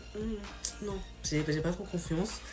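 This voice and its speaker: Music plays behind a woman speaking in an animated tone. Her pitch varies in an ordinary way, and the room echo is audible. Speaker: youtuber. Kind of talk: casual storytelling video. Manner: animated, slangy.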